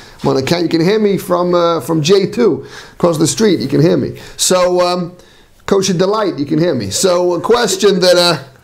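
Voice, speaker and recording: At a moderate pace, a man speaks in a high pitch with audible room echo. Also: ordinary pitch variation. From Manchester, England. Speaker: rabbi. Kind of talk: lecture. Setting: class with live audience, on sound system. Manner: halting, many fillers and repetitions.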